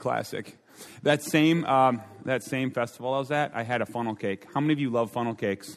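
A man speaks fairly quickly with an Upper Midwest accent. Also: medium pitch for a man, ordinary pitch variation. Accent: Upper Midwest American. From Minnesota. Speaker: pastor and speaker. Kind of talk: sermon. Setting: stage with audience. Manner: animated.

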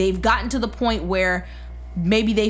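A woman talks with a New York accent, and audible room echo surrounds her voice. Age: 20s. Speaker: podcast guest. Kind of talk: casual chat.

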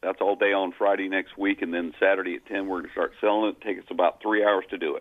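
Speaking at a very fast pace, a man barely pauses at all. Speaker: auctioneer. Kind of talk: phone interview. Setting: phone call. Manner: serious-sounding.

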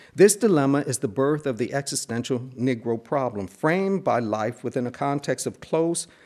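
A man with a plain, everyday voice, medium pitch and an American accent, talking at a moderate pace against a quiet background. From Buffalo, New York. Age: 50s. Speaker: professor of religious studies. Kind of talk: lecture. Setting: lecture hall with audience.

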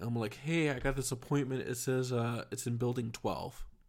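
A man with an American accent has an ordinary speaking voice at a medium pitch and a moderate pace. The recording is very clean, with a silent background. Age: 30s. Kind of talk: casual monologue.

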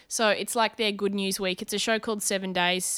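In a very clean recording with a silent background, a woman speaks with an Australian accent at a medium pitch. Her tone is bright and sharp, her intonation monotone and flat, and the sound is dry and close with no echo. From Brisbane, Australia. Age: 30s. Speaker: comedian and TV host. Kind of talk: casual interview chat. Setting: at her home.

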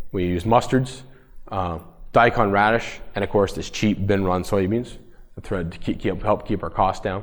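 The speaker has a Canadian accent and a fairly slow pace. The intonation stays fairly even. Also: man, fairly low pitch for a man. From Ontario, Canada. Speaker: farmer. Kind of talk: presentation. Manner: halting.

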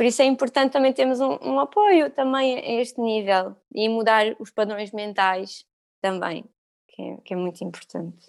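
This woman has an ordinary speaking voice, fairly high in pitch, moving at a moderate pace with lively intonation and big swings in loudness. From Algarve, Portugal. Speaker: yoga teacher. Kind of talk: casual interview.

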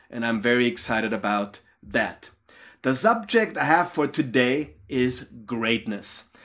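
The man's voice sits at a medium pitch, with ordinary pitch variation. He talks at a fairly slow pace on a very clean recording with a silent background. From Austria. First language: German. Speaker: leadership coach and pastor. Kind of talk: motivational talk.

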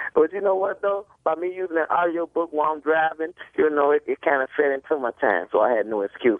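A man with a Chicago accent talks at a very fast pace with hardly any pauses. His fairly high voice has lively intonation. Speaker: caller. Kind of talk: casual chat. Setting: phone call.

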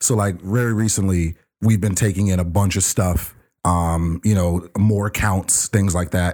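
Heard on a very clean recording with a silent background, a man with a fairly low pitch speaks in a normal speaking voice at a moderate pace. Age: 30s. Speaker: returning podcast guest. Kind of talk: casual chat.

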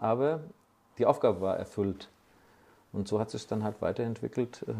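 This man's voice has a dark, mellow tone, a medium pitch and ordinary variation in pitch. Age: 60s. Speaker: master body shop owner. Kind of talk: interview. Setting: at his workshop.

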